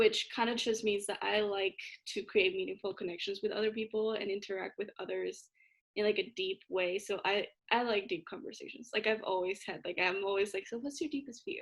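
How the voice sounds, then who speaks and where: A woman with a Spanish accent talks at a fairly quick pace with fairly even intonation. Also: medium pitch for a woman. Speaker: college student show host. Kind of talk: casual chat.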